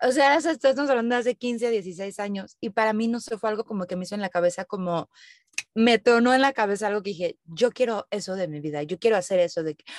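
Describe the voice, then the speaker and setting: A woman speaks very fast in a Mexican accent, with big swings in loudness. The sound is dry and close, with no echo. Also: lively intonation. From Mexico. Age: 30s. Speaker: digital nomad, content creator. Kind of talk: interview conversation.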